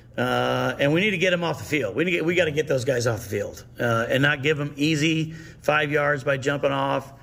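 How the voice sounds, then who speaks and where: Noticeable background noise accompanies a man who speaks at a fairly quick pace, fairly high in pitch, with ordinary pitch variation. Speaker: high school football coach. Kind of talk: coach interview.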